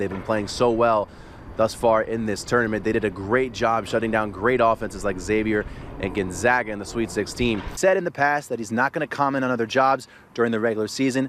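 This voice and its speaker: A man with an American accent, upbeat and energetic at a fairly quick pace, ordinary pitch variation, noticeable background noise behind him. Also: medium pitch for a man. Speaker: sports anchor and reporter. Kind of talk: sports news report and anchor read. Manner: upbeat, energetic.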